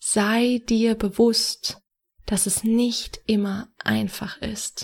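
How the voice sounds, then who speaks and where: A woman speaks in a fairly high, somewhat breathy voice with monotone, flat intonation. The recording is very clean, with a silent background. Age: 20s. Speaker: podcast host, personal development coach. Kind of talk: solo podcast monologue, advice.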